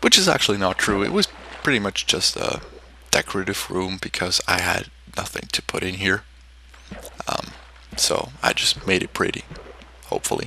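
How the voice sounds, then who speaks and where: The speaker talks at a moderate pace with long, frequent pauses over noticeable background noise. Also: man. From Switzerland. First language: German. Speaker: game content creator. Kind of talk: gameplay commentary. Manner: hesitant, many fillers.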